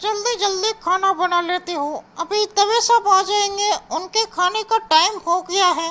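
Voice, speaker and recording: Doing a put-on character voice, a woman talks at a fairly slow pace with an extremely high pitch. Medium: comedy sketch. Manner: sharp, annoyed.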